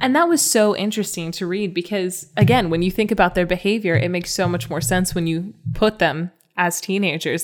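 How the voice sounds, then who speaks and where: Using an unremarkable speaking voice, a woman talks at a fairly quick pace and medium pitch with ordinary pitch variation. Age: 20s. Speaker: podcast co-host, storyteller. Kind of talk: casual chat.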